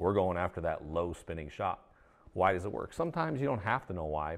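A man speaks in a very deep, low pitch. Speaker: golf equipment designer. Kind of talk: interview. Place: meeting room.

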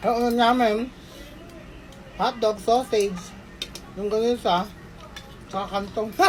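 Speaking at a fairly slow pace with long, frequent pauses, a woman with a fairly high voice is heard over noticeable background noise. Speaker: vlogger. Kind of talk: vlog voice-over. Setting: at home. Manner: animated.

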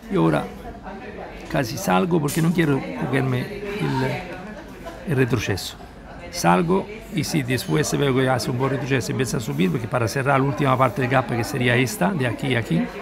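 Against crowd noise in the background, a man speaks at a moderate pace with very wide pitch swings. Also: medium pitch for a man. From Italy. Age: 60s. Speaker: day trader. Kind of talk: live trading commentary. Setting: outdoors at a seaside café. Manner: relaxed. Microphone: phone near.

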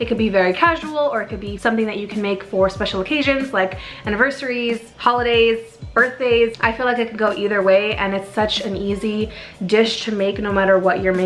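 A woman's fairly quick speech with ordinary pitch variation and faint background music. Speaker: cooking vlogger. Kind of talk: casual vlog chat. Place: kitchen.

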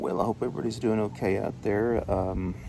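Moderate-paced speech from a man over noticeable background noise. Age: 40s. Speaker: YouTuber. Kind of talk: casual vlog. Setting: at home. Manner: hesitant, lots of fillers. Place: garden. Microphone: phone near.

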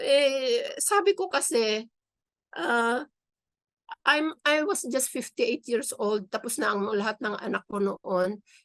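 A woman at a very slow pace, her high pitch swinging very widely. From Philippines, Isabela. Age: 60s. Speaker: new lawyer, local government employee. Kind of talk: interview.

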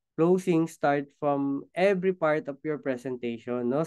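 A man speaks at a fairly high pitch and a fairly slow pace. The background is quiet. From Philippines. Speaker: business trainer. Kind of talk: online training session. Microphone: webcam.

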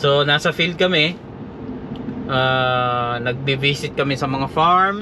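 Speaking at a very slow pace, a man keeps his loudness very even at a fairly high pitch, with ordinary pitch variation. Noticeable background noise and audible room echo surround him. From Philippines. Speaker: vlogger and veterinary technician. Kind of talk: casual vlog talk. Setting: in a car. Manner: halting.

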